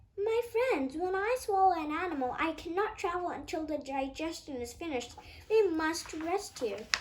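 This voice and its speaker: Someone does a put-on character voice at an extremely high pitch, speaking at a moderate pace. Clear background noise runs underneath. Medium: read story.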